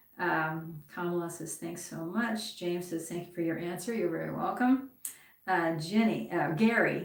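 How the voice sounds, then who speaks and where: In a room with audible echo, a woman with a fairly low pitch speaks at a moderate pace and keeps her intonation fairly even. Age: 60s. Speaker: guitar teacher. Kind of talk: live stream lesson, reading and answering comments. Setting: YouTube live stream. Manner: casual, with many fillers.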